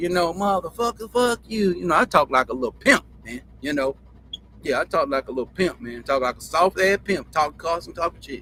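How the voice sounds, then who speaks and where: A man's high-pitched voice, bright and sharp, in an animated tone with very wide pitch swings and big swings in loudness. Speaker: show host. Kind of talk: casual storytelling. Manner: animated, repetitive.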